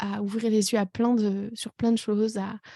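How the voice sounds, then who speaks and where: Somewhat breathy and dark, mellow in tone, a woman speaks at medium pitch at a very slow pace with monotone, flat intonation, the recording very clean with a silent background and a dry, close sound with no echo. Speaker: life coach, podcast host. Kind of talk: personal podcast monologue. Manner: hesitant, many fillers.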